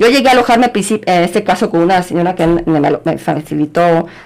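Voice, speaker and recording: Noticeable background noise sits behind a woman's voice. She speaks at a fairly quick pace with a fairly low pitch and ordinary pitch variation. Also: very even loudness. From Guadalajara, Jalisco, Mexico. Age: 50s. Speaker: biology teacher. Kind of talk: interview.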